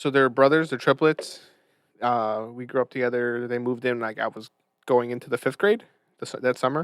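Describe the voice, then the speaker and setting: A mumbling man at medium pitch and moderate pace, with fairly even intonation and a dry, close sound with no echo. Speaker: podcast guest. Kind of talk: casual chat. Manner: stutters.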